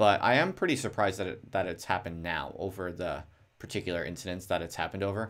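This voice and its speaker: A man talks at a fairly quick pace in a very clean recording with a silent background. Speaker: academic and livestreamer. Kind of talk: casual livestream talk. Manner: soft-spoken. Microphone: audio low, speaking close to mic.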